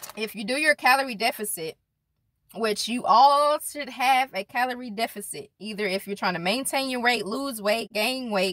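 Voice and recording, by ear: A woman talks at a moderate pace, her pitch fairly high and her tone fairly bright, with ordinary pitch variation.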